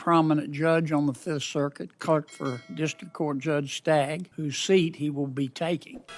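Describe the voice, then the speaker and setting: A man with an American accent and a normal speaking voice talks at a moderate pace and fairly high pitch, with ordinary pitch variation. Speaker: U.S. senator speaking at a Senate Judiciary Committee hearing. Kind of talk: formal hearing speech introducing judicial nominees.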